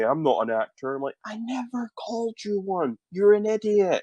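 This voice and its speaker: A man with a Scottish accent at a moderate pace, his pitch swinging very widely, in a dry, close sound with no echo. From Scotland. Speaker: YouTuber. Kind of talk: interview.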